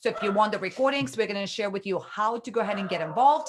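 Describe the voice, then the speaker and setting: Amid noticeable background noise, a woman with a non-native accent speaks in an animated tone, fairly high-pitched and with lively intonation. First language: not English. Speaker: online business coach. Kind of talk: live webinar training. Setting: livestream.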